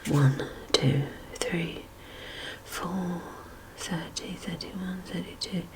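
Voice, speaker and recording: The speaker is soft-spoken. The pace is very slow. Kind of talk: read-aloud children's Bible story.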